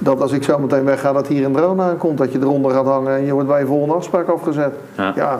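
In a room with audible echo and noticeable background noise, a man talks very fast with ordinary pitch variation. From Netherlands, Rotterdam area (Nieuwerkerk aan den IJssel). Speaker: lease specialist and entrepreneur. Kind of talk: casual interview. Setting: in-person recording with camera.

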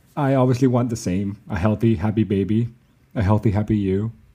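A man's dark, mellow voice with a slight Danish accent and fairly even intonation. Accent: barely Danish-sounding. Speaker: expectant partner. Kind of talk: casual chat.

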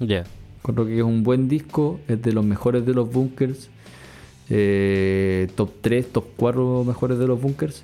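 Very slow, very evenly loud speech in a Chilean accent, with ordinary pitch variation and music in the background. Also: man, medium pitch for a man. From Chile, Concepción. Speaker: podcast co-host, music reviewer. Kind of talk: casual chat.

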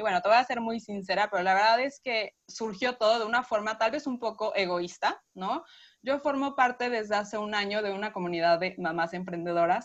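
The speaker is a woman with a fairly high pitch and ordinary pitch variation. She talks at a fairly quick pace against a quiet background. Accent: Mexico City. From Mexico City. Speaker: nutritionist. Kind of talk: interview.

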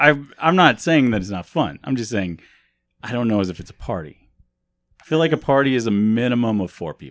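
Over a quiet background, a medium-pitched man with an American accent talks at a fairly quick pace, his pitch making very wide swings. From US Midwest. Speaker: podcast host. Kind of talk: casual chat.

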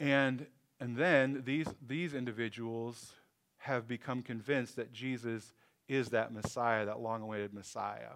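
A man with a plain, everyday voice speaks at a fairly slow pace, medium in pitch, with fairly even intonation. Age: 50s. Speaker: pastor. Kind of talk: sermon. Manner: casual, conversational with fillers.

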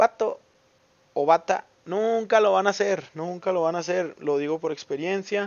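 A man speaks at a fairly slow pace. His voice is high-pitched with ordinary pitch variation. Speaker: podcaster. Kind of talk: casual monologue. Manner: talkative; animated.

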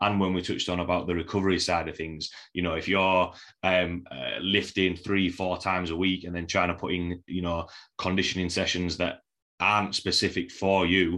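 With a Yorkshire accent, this bright, sharp voice speaks in a flat monotone at a moderate pace against a quiet background. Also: man, very deep, low pitch for a man. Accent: broad Yorkshire. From Yorkshire, England. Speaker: podcast host and strength coach. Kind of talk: casual interview chat.

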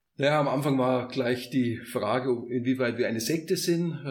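This man has a plain, everyday voice, a medium pitch, fairly even intonation and a moderate pace. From Upper Bavaria, village near Munich. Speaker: construction entrepreneur and community co-founder. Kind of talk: casual interview.

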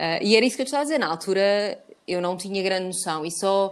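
A woman speaks in a plain, everyday voice at a medium pitch. She goes at a fairly quick pace, with ordinary pitch variation. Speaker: podcast host. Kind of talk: casual chat.

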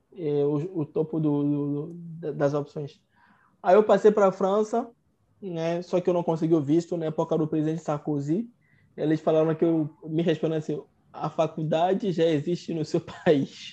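The speech comes at a moderate pace. The background is quiet. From Togo (Lomé). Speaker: medical doctor. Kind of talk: interview storytelling. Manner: halting, repeats words.

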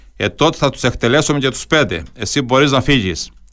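A man talks at a middling tempo. The audio is very clean, with a silent background. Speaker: radio host. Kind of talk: radio interview. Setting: studio.

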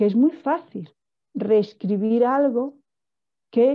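A woman's voice with vocal fry at a very slow pace. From Portugal, raised in Spain. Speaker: film director. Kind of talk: interview. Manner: halting, frequent repetitions.

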